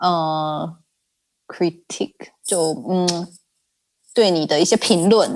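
In a very clean recording with a silent background, a woman speaks in a fairly low voice. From Taiwan. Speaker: regional sales manager. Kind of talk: casual interview.

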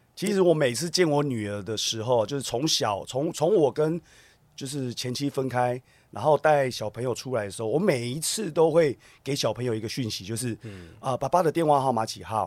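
Speaking in a plain, everyday voice, a man talks fairly quickly at a medium pitch with lively intonation, on a very clean recording with a silent background. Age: 40s. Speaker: TV drama actor. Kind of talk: casual interview chat.

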